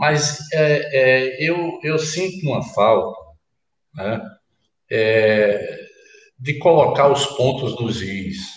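Fairly high-pitched male speech with lively intonation, a very slow pace and long, frequent pauses, in audible room echo. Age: 60s. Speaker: politician, former governor. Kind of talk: political panel debate. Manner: halting, repeats words.

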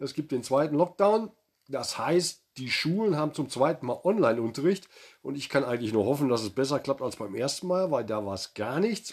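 This man speaks at a fairly quick pace. His pitch swings very widely. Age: 50s. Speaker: podcast co-host, father. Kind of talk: casual chat.

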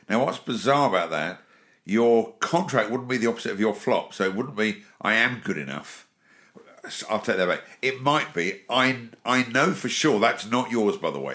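A man speaks at a moderate pace with an English accent, his tone bright and sharp and his intonation lively. The recording is very clean, with a silent background. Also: medium pitch for a man. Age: 50s. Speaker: podcast host, business speaker and author. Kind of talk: casual chat.

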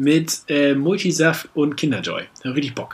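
A man's fairly high voice at a moderate pace. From northern Germany. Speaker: podcast co-host. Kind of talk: casual chat. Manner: animated.

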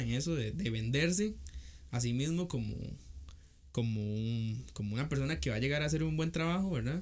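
Somewhat breathy, a man speaks at a medium pitch and a moderate pace. His intonation is lively, and there is audible room echo. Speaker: podcast co-host. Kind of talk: casual chat.

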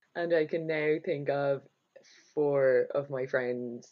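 A woman speaking at a fairly slow pace in an Irish accent. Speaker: podcast host. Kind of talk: casual chat, interview.

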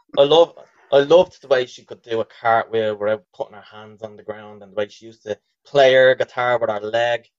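With a strong Dublin accent, a man talks at a moderate pace and medium pitch with ordinary pitch variation in a dry, close sound with no echo. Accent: thick Dublin. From Dublin, Ireland. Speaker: podcast co-host. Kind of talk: informal, profane slang. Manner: casual, jokey banter.

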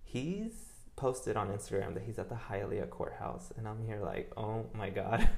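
Room echo can be heard clearly. The man talks at a moderate speed. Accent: American. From New York. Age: 20s. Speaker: interior designer. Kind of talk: casual chat.

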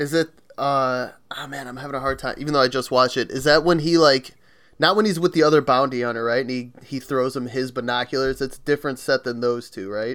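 In a very clean recording with a silent background, a man talks at a very fast pace with fairly even intonation. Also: medium pitch for a man. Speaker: podcast co-host. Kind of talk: casual chat.

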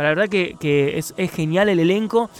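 A man's voice with lively intonation. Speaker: radio host. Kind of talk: casual chat. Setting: radio studio.

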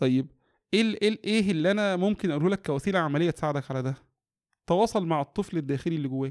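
Very fast delivery with ordinary pitch variation and a dry, close sound with no echo. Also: man, high pitch for a man. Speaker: educational psychologist and family counselor. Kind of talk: interview about parenting.

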